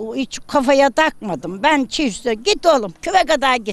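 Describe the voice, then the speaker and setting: Intonation from this woman is lively. She talks at a very slow pace. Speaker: Yörük village woman. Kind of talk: casual storytelling in interview.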